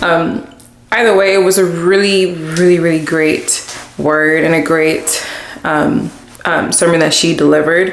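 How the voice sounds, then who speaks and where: Fairly low-pitched, a woman talks at a fairly slow pace with fairly even intonation. Audible room echo and noticeable background noise fill the recording. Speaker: lifestyle vlogger. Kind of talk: casual vlog talk to camera.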